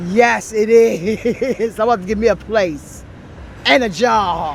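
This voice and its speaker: Speech at a very slow pace with ordinary pitch variation comes through noticeable background noise. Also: woman, fairly high pitch for a woman. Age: 60s. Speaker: homeless woman interviewed on the street. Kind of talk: street interview.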